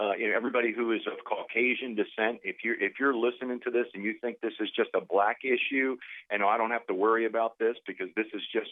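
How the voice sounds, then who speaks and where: Speaking at a very fast pace with hardly any pauses, a man talks in a New England accent. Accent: Northeastern US (Yankee). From New Jersey. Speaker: caller. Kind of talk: call-in comment.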